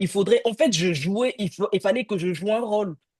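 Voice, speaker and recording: Against a quiet background, a woman talks at a fairly slow pace with lively intonation, the sound dry and close with no echo. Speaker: career counselor. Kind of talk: casual chat. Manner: halting.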